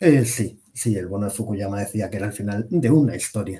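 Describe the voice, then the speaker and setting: Speaking at a fairly quick pace, a man with a fairly low pitch and a dark, mellow tone sounds somewhat breathy, with ordinary pitch variation. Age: 30s. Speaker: defense magazine editor. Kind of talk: interview.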